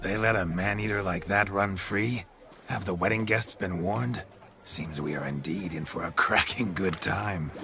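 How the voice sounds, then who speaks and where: A man's cartoonish character voice, fairly low in pitch, at a moderate pace over clear background noise. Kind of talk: archaic courtly flattery. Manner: flowery, flirtatious, jovial.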